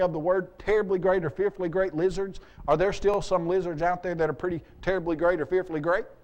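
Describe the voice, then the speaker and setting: Speaking at a very fast pace, a man talks in a high voice. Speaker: apologetics speaker. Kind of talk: seminar lecture. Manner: animated.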